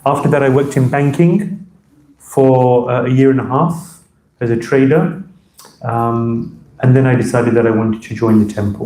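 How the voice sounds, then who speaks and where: With a London accent, a man talks at a medium pitch and a moderate pace, using a dark, mellow tone and ordinary pitch variation. Long, frequent pauses break up his speech, and the room echo is audible. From London, England. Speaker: monk and spiritual teacher. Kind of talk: lecture to temple audience. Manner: hesitant, many fillers.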